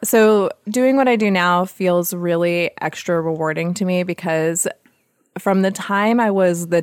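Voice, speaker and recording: A woman with an unremarkable speaking voice talks at a fairly low pitch and fairly slow pace, with ordinary pitch variation. The recording is very clean, the background silent. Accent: American. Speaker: homesteader and podcast host. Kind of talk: casual interview chat.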